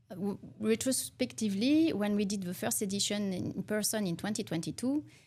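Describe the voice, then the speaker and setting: With a French accent, a woman speaks at a fairly quick pace in a somewhat breathy, dark, mellow voice of medium pitch and lively intonation. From France. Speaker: arts nonprofit director. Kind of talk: tv interview. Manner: halting.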